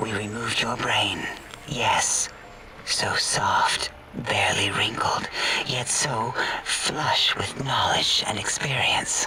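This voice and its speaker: A man whispers very slowly in a put-on character voice. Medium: game stream. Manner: prim, clinical.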